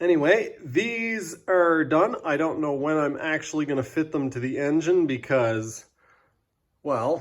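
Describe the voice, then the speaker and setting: A fairly high-pitched man at a fairly slow pace with lively intonation, in a very clean recording against a silent background. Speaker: jet ski mechanic video host. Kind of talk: workshop tutorial. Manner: casual, hesitant.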